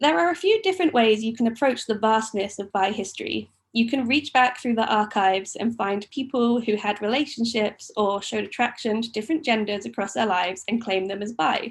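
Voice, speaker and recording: Somewhat breathy and fairly high, a woman talks at a fairly quick pace with hardly any pauses and ordinary pitch variation. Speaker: author. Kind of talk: book talk; reading aloud. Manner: quiet, sometimes low volume.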